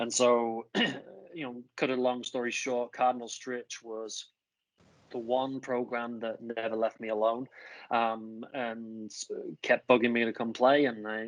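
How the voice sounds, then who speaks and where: Fairly slow, monotone, flat speech in an English accent, with long, frequent pauses and a quiet background. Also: man, medium pitch for a man. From northern England, Grimsby. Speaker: college soccer coach. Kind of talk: interview. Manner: casual, with many fillers.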